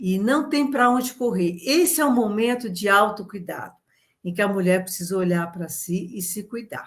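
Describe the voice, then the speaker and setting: Somewhat breathy, a woman with a medium pitch speaks at a moderate pace with lively intonation. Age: 70s. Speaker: nutritionist and women's health educator. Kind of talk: educational talk. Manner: conversational, addresses audience directly.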